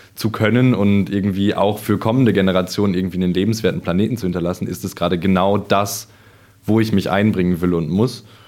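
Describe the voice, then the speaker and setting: Talking at a fairly quick pace, a man uses a fairly low pitch and fairly even intonation in a very clean recording with a silent background. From Sauerland, North Rhine-Westphalia. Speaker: student climate activist. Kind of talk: interview. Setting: company premises. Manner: hesitant with fillers.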